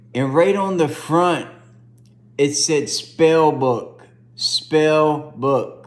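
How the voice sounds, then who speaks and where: A man speaks in an animated tone. Audible room echo surrounds his voice. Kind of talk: testimony.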